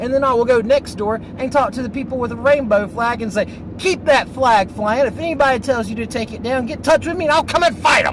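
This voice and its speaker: Against noticeable background noise, a speaker with a Southern accent talks very fast in an animated tone, with ordinary pitch variation and hardly any pauses. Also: man, extremely high pitch for a man. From US South, North Carolina. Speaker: vlogger. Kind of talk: casual monologue vlog. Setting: in a car.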